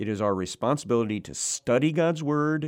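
Here a man with an unremarkable speaking voice talks at a moderate pace with lively intonation. The recording is very clean with a silent background. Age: 60s. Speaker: preacher. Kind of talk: sermon. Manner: frequent filler 'uh'.

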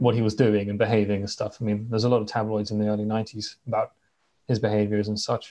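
A man's very fast, medium-pitched voice with a West Country accent and a dark, mellow tone, against a quiet background. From southwest England. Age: 20s. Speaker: podcast host, guest. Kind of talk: casual chat.

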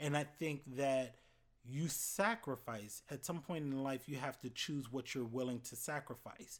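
In an American accent, a man with an unremarkable speaking voice talks at a fairly slow pace. His pitch is fairly high with ordinary variation, and the recording is very clean with a silent background. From Florida. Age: 30s. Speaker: university student-affairs educator.

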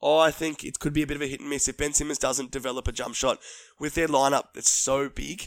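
Talking at a fairly quick pace, a man uses a fairly high pitch and fairly even intonation. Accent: Australian. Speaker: sports podcast host. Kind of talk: casual sports chat. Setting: studio.

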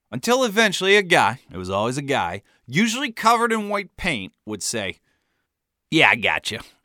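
A man with an American accent speaks at a moderate pace in a fairly high pitch with a bright, sharp tone and vocal fry, swinging very widely in pitch and widely in loudness. The recording is very clean with a silent background and a dry, close sound with no echo. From US Midwest. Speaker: author narrating his memoir. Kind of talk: scripted narration.

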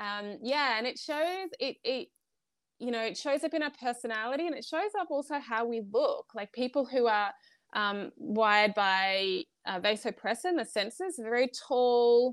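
In a very clean, dry and close recording with no echo and a silent background, a woman speaks with an Australian accent, at high pitch and with lively intonation. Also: moderate pace. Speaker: wellness coach. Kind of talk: interview.

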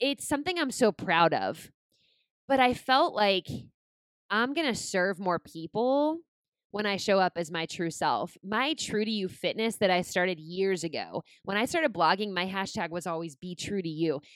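A woman speaks at a moderate pace and a medium pitch, with lively intonation. Her tone is animated, and the sound is dry and close with no echo. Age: 30s. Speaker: podcast host and blogger. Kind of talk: casual solo monologue. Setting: home dining room table.

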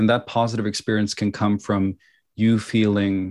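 Over a very clean recording with a silent background, a man speaks in a monotone, flat intonation. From Norway, Oslo. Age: 30s. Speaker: movement teacher. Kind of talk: podcast interview.

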